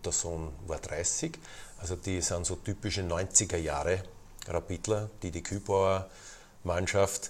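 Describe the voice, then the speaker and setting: A man with a very deep, low pitch, fairly even intonation and a very slow pace. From Lower Austria, near Vienna. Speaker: football club president. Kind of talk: interview.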